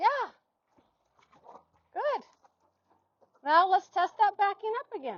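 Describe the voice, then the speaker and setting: A woman speaks loudly at an extremely high pitch and a very slow pace, with very wide pitch swings and long, frequent pauses. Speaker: horse trainer. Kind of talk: demonstration.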